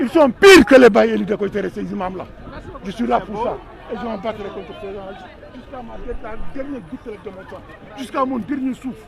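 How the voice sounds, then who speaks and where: Over crowd noise in the background, a man with a high pitch talks at a fairly quick pace with ordinary pitch variation and long, frequent pauses. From Senegal (Thiès). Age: 70s. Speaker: retired politician, activist. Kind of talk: protest speech. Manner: impassioned, emphatic; halting repetitions.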